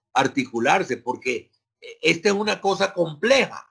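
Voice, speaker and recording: A man with a bright, sharp tone talks at a very slow pace. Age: 60s. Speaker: sociology professor. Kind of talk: lecture. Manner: hesitant, many fillers.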